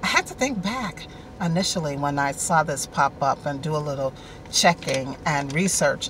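A woman with a very deep, low voice is heard in a dry sound with no echo and light background noise. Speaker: online show host. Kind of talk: casual vlog chat. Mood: warm, friendly. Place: car. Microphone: phone near.

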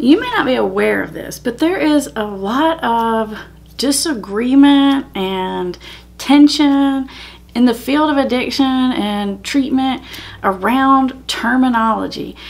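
A woman speaks at a very slow pace in a high pitch, with ordinary pitch variation. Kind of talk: educational vlog talk. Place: home room.

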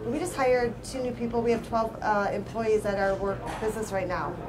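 Over noticeable background noise, a woman with an American accent talks at a very fast pace, her fairly high pitch held in fairly even intonation. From Downriver Detroit area, Michigan; Michigan. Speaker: bakery owner. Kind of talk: casual chat. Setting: breakfast table, on location. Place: cafe. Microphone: studio mic.

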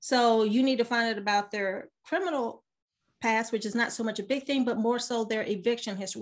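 A woman speaks with an American accent at a fairly high pitch. Her pitch variation is ordinary, and the background is quiet. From US military family, raised abroad. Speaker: business mentor and realtor. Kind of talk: casual interview. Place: home room. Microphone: webcam.

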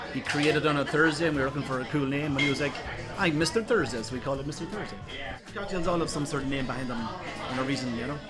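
With clear music in the background, a man talks at a very fast pace with ordinary pitch variation. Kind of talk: interview answer. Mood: friendly, upbeat. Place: bar. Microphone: phone near.

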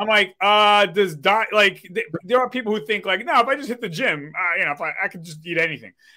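Projecting a raised voice, a man talks at a fairly quick pace, high in pitch with ordinary pitch variation and a bright, sharp tone. His loudness swings widely against a quiet background. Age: 40s. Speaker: podcast host and DJ; podcast host, DJ. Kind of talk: casual chat. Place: home room. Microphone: webcam.

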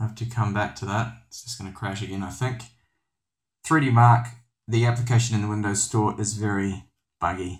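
Somewhat breathy, a man speaks with fairly even intonation and long, frequent pauses. The recording is very clean, with a silent background. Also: fairly low pitch for a man, moderate pace. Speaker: tech reviewer. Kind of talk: tutorial. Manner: casual, hesitant with fillers.

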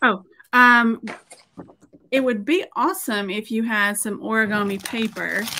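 With a Southern US accent, a woman speaks at a fairly slow pace with long, frequent pauses over light background noise. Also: ordinary pitch variation. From Middle Tennessee. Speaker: painter and former art teacher; former art teacher. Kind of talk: tutorial. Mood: friendly, relaxed. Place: home room.

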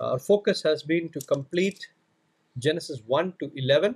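Over a quiet background, a man speaks at a very slow pace with ordinary pitch variation. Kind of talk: prayer then bible teaching. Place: home room. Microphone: studio mic.

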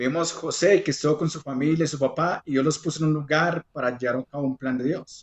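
Very fast, hardly any pauses, from a man with a somewhat breathy, fairly high voice and fairly even intonation, against a quiet background. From Colombia. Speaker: sermon interpreter. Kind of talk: interpreted sermon. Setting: remote video call. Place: home room.

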